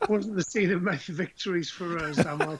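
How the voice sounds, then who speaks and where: With a Teesside accent, a man talks in a high pitch at a moderate pace amid noticeable background noise. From northern England, Teesside. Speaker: rugby coach and former player. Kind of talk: interview.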